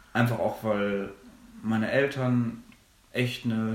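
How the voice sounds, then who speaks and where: Audible room echo surrounds a man's medium-pitched voice. His intonation stays fairly even. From Germany, Minden-Lübbecke district (East Westphalia). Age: 20s. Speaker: theology student. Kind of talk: podcast interview.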